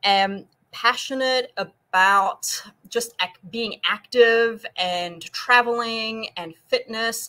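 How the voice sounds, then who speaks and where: A woman with a slight South African accent speaks in a bright, sharp tone with ordinary pitch variation. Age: 40s. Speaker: nutrition and fitness coach. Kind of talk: interview on a live stream. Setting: live online stream.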